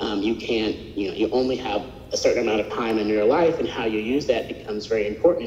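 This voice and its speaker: Light background noise and audible room echo around a man talking. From North Texas (Graham); Texas. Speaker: sculptor and art professor; art professor. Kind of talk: artist lecture. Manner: casual, with fillers. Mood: reflective, earnest. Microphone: video call.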